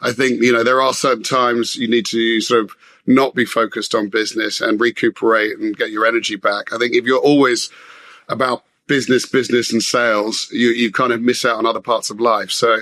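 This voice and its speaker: This man talks at a fairly quick pace with a London accent. His medium-pitched voice has a bright, sharp tone. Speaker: business executive. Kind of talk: interview conversation. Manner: halting, many fillers.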